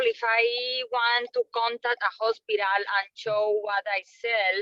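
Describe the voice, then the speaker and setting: With a Colombian accent, the voice comes across dry and close, with no echo. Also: woman. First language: Spanish. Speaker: trainee salesperson. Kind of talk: questions in training webinar.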